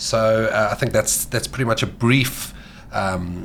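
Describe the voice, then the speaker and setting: There is noticeable background noise. A man speaks at medium pitch with ordinary pitch variation. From Mauritius. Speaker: sports dietitian. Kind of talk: podcast interview. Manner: animated.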